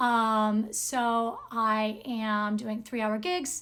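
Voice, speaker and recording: A loud woman at a fairly high pitch, on a very clean recording with a silent background. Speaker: singer and speech-language pathology lecturer. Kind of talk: lecture.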